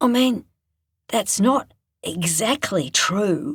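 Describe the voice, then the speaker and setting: In a put-on character voice, someone speaks raspy and fairly high at a very slow pace. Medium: read story. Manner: low, halting, stammering.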